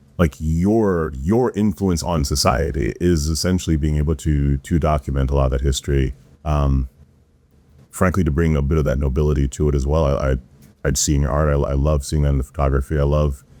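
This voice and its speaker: A man with an American accent, very deep and low in pitch, at a fairly quick pace, with very even loudness, fairly even intonation and noticeable background noise. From US, Florida, Jamaican family. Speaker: podcast host. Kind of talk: interview conversation. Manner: casual.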